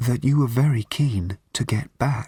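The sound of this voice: In a put-on character voice, a man speaks huskily at a medium pitch and a fairly slow pace.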